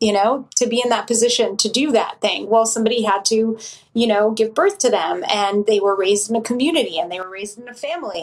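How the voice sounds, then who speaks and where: A woman's unremarkable speaking voice, fairly high in pitch, fairly quick, with ordinary pitch variation. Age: 40s. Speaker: author and meditation teacher. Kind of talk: casual chat.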